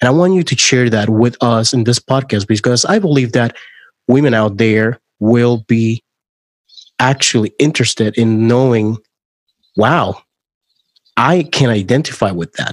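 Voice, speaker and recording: With a Spanish accent and a medium pitch, a man talks at a moderate pace with ordinary pitch variation, leaving long, frequent pauses. The recording is dry and close, with no echo. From Puerto Rico. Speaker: podcast host. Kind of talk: interview conversation.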